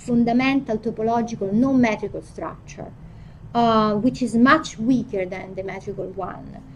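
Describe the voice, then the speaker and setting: Speaking at a fairly slow pace, a woman with a fairly high voice talks in an Italian accent. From Italy. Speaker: philosophy of physics professor. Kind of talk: academic lecture. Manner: halting, frequent fillers and restarts.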